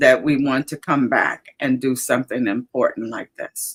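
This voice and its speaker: A woman with an Alabama accent, fairly even intonation and a fairly slow pace. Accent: Southern US (Alabama). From US South, Alabama. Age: 70s. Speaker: livestream host. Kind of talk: casual chat. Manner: halting.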